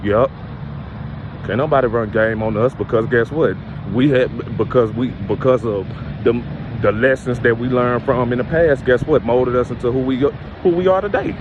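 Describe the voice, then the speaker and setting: Noticeable background noise accompanies the voice. It holds a moderate pace, and its pitch varies in an ordinary way. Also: man, medium pitch for a man. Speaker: spiritual motivational speaker. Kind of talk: motivational monologue. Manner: halting.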